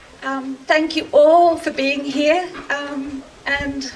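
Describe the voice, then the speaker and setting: In an Australian accent, a woman speaks with a high pitch and fairly even intonation over light background noise. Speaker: actor. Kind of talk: public speech at outdoor rally. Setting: outdoors. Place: open country.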